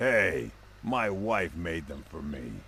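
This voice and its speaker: A man's raspy, put-on character voice, very deep and low in pitch, with very wide pitch swings and clear background noise. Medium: video game.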